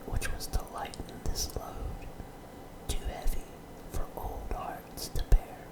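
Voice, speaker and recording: A man whispers at a very slow pace. There is noticeable background noise. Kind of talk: ASMR whispered story reading. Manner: whispered.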